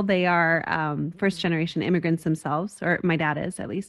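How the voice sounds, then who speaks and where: An unremarkable speaking voice with an American accent and ordinary pitch variation. The background is quiet. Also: woman. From US Southwest, Las Cruces, New Mexico. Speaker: executive coach, former opera singer. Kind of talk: interview.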